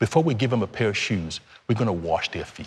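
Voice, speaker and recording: A man with a Nigerian accent talks at a very fast pace in a fairly low pitch, his intonation lively. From Nigeria, Lagos. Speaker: charity founder. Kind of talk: TV interview.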